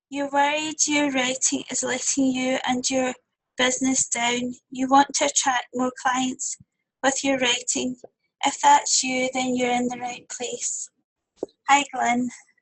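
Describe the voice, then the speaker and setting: A woman with a Scottish accent talks at a fairly slow pace in a high pitch. Her intonation is monotone and flat. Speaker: copywriter for coaches. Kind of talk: webinar presentation. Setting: webinar.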